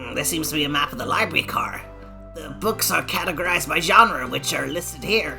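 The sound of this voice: Over clear background music, a woman performs a put-on character voice at a fairly quick pace.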